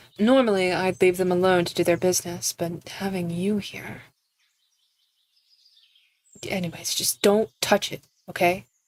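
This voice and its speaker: Using a put-on character voice, a woman speaks softly with a rumbling sound at a medium pitch. Her intonation is fairly even, her pace moderate, and she takes long, frequent pauses. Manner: tired grumble.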